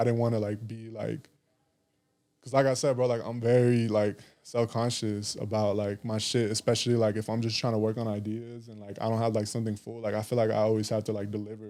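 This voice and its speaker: A quiet, fairly quick delivery in a dark, mellow tone, monotone and flat in intonation, with an American accent. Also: man, medium pitch for a man. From Arizona, Tucson. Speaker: musician and recording engineer. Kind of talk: casual interview chat. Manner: quiet, chill.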